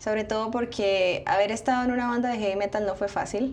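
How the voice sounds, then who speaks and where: There is audible room echo around the woman's voice. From Colombia, Bucaramanga (Santander). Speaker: singer. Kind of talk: interview. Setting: studio.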